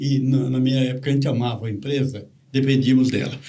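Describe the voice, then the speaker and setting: Over noticeable background noise and audible room echo, a man of medium pitch speaks at a very fast pace. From interior of São Paulo state, Brazil. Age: 70s. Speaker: retired executive, tree planter. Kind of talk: podcast interview.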